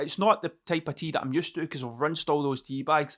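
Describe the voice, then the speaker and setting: Speaking with a Scottish accent, a man uses a fairly high pitch and an animated tone at a very fast pace. The recording is very clean, with a silent background. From Scotland. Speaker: podcaster. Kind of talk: casual monologue. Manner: rambling, sweary and animated.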